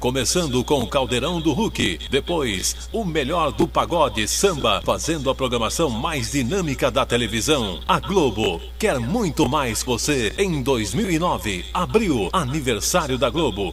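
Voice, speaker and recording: Music plays behind a man speaking at a fairly slow pace. He leaves hardly any pauses. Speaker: voice-over announcer. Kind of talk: TV promo voice-over.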